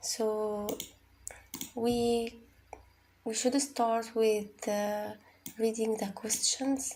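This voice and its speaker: At a very slow pace, a woman with an Arabic accent and a fairly high pitch speaks in a monotone, flat intonation over noticeable background noise. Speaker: IELTS tutor. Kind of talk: tutorial. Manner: halting, many fillers and repeats.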